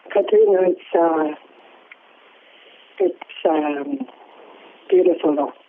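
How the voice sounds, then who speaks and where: A woman with fairly low pitch and lively intonation speaks at a very slow pace with long, frequent pauses, over noticeable background noise. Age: old. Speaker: community elder. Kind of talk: casual chat.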